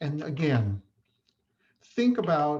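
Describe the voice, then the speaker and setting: At a very slow pace, a man speaks with an American accent. His voice is fairly high-pitched. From Chicago area, US Midwest. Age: 60s. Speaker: respiratory therapist and educator. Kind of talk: conference talk. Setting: online presentation.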